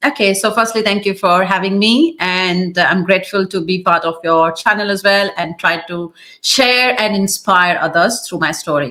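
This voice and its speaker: A woman with an Indian accent and a bright, sharp tone, at medium pitch with ordinary pitch variation and a moderate pace. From India, small city. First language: Hindi. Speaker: YouTuber, immigrant interviewee. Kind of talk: interview.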